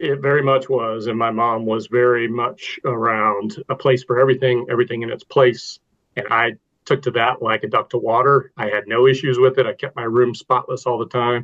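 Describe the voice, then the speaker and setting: In an American accent, a man speaks at a medium pitch in a flat monotone. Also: moderate pace. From Texas. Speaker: navy veteran, nonprofit director. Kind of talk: interview podcast.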